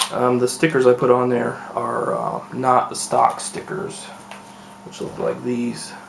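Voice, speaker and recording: Against noticeable background noise, the speech moves at a fairly slow pace with big swings in loudness. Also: man. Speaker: speedcube reviewer. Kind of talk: product unboxing and first impression. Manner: quiet, hushed; hesitant, many fillers.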